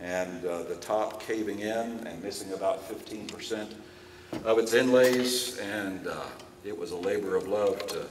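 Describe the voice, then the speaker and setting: A man with an American accent talks at a moderate pace while audible room echo and noticeable background noise surround him. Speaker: presenter and luthier. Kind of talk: lecture.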